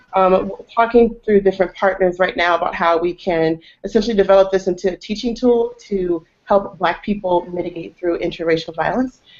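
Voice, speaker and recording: In a plain, everyday voice, a woman with an American accent speaks fairly quickly at a medium pitch with fairly even intonation. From Texas. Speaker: activist and project founder. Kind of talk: group discussion introduction. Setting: video call.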